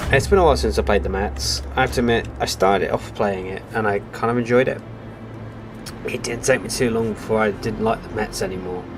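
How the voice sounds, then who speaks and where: With a Welsh accent and very wide pitch swings, the voice moves at a fairly quick pace over noticeable background noise. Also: man, fairly low pitch for a man. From Wales. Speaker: gaming streamer. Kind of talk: live gameplay commentary. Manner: casual.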